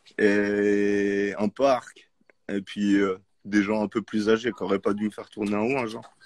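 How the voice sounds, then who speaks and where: Fairly low-pitched male voice with monotone, flat intonation, a fairly slow pace and a quiet background. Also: dry, close sound with no echo. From Geneva, Switzerland. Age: 30s. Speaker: rapper. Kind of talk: casual chat.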